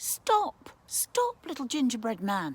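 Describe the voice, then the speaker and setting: The put-on character voice moves at a fairly slow pace and swings very widely in pitch. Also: woman. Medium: read story.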